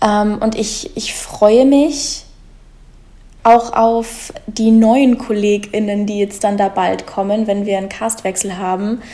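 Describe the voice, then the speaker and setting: This woman has a fairly high pitch and a dark, mellow tone that is somewhat breathy. She talks at a very slow pace with fairly even intonation. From Germany, Munich. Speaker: musical theatre performer. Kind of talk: casual interview chat.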